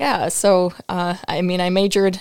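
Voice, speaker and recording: Vocal fry runs through the speech of a woman with an American accent. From upstate New York. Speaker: co-host, former student. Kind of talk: reading aloud.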